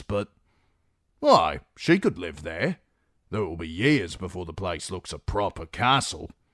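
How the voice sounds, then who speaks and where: A man's raspy, very deep put-on character voice at a moderate pace, dry and close with no echo, in a very clean recording with a silent background. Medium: read story.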